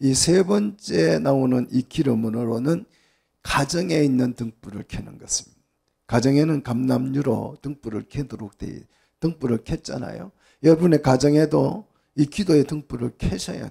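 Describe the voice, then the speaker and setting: A man speaks at a fairly slow pace in a dark, mellow tone, his medium pitch carried by lively intonation. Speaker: pastor. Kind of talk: sermon.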